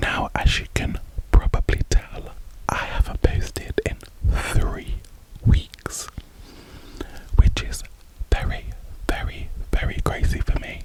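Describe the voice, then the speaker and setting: A woman whispering at a very slow pace, with long, frequent pauses, big swings in loudness and noticeable background noise. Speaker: ASMR content creator. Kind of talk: ASMR whisper ramble. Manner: whispered, soft-spoken.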